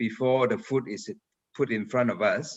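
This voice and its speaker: A man's ordinary speaking voice at a medium pitch and a fairly slow pace. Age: 60s. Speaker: franchise expert speaker. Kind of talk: video conference conversation.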